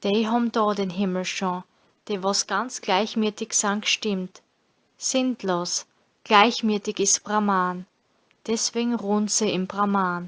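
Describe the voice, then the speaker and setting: A woman's medium-pitched voice in a Styrian accent, very slow and monotone, with long, frequent pauses, a dry, close sound with no echo, and a very clean recording over a silent background. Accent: Styrian Austrian German dialect. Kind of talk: scripture reading.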